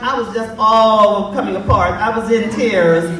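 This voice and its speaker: A woman's speech carries audible room echo amid noticeable background noise. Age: old. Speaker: event organizer.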